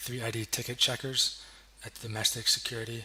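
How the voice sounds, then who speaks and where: Medium-pitched male voice in a flat monotone, with noticeable background noise. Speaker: graduate student. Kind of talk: academic project presentation. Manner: hesitant, many fillers.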